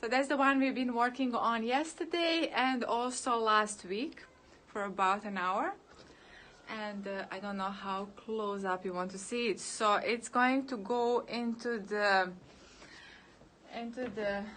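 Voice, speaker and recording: A woman with a Serbo-Croatian accent talks in a fairly high voice with ordinary pitch variation. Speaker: painter. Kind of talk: live stream chat while painting. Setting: outdoors in bright sun. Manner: halting, many fillers.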